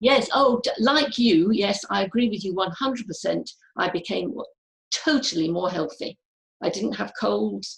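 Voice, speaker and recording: Using lively intonation and some vocal fry, a woman speaks at a medium pitch and a moderate pace. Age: 70s. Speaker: audience member. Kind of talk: casual chat.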